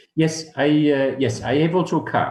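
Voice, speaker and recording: The voice of a man sounds somewhat breathy. His pace is moderate. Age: 60s. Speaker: dentist. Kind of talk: interview. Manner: halting.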